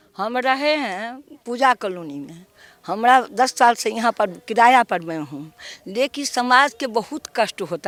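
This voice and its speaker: Noticeable background noise sits behind a woman speaking. Her voice is fairly high, and the sound is dry and close with no echo. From Bihar. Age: 80s+. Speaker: local resident. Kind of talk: street interview.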